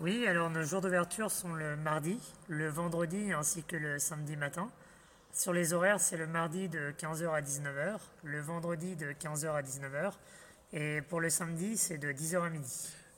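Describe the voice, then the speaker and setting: This man speaks at a fairly slow pace and a fairly high pitch, his tone bright and sharp and his intonation fairly even. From Île-de-France, France. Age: 30s. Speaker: farmer. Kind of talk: radio interview. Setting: on the farm.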